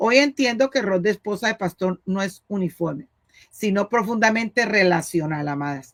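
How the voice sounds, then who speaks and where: A woman at a medium pitch speaks with lively intonation, and the sound is dry and close with no echo. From Colombia, Cali. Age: 60s. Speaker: pastor's wife and missionary. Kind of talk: interview. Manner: halting.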